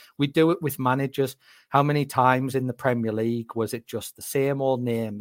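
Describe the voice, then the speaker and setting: On a very clean recording with a silent background and a dry, close sound with no echo, a man of medium pitch speaks at a fairly quick pace with fairly even intonation. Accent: Northeast English. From northeast England, County Durham. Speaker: football scout. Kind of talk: casual interview chat.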